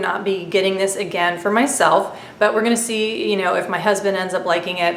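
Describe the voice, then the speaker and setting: Noticeable background noise and audible room echo around a woman speaking at a medium pitch. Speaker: beauty vlogger. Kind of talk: casual product review monologue.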